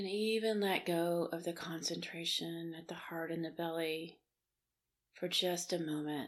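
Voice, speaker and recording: An ordinary speaking voice from a woman, fairly low in pitch, with fairly even intonation and a fairly slow pace. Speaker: leadership coach and meditation guide. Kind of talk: guided meditation. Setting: studio recording for a podcast. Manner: slow, soft, soothing, calm pacing with long pauses.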